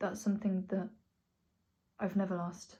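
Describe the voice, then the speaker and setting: Her voice is dark and mellow, somewhat breathy, with a monotone, flat intonation throughout. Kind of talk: personal vlog monologue. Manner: slurred at times.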